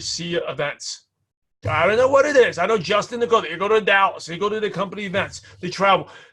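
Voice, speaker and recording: A man projects a raised voice with a bright, sharp tone. His pitch is high, with ordinary pitch variation. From New York (Brooklyn). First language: not English (English is his third language). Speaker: network marketing trainer. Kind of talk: training talk.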